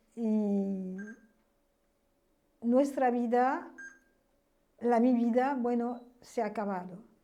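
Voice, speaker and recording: A woman's high pitch and dark, mellow tone at a very slow pace, with long, frequent pauses and audible room echo. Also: ordinary pitch variation. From France. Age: 70s. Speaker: witness of history. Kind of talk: testimony. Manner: halting.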